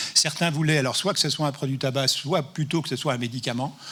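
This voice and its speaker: His pace is fairly quick. The man's tone comes across bright and sharp. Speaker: professor and anti-tobacco expert. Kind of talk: conference talk. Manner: fast.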